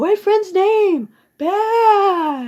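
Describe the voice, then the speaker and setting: An American-accented woman. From Minnesota. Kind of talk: personal ghost story told to camera. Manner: ad-libbed, with fillers.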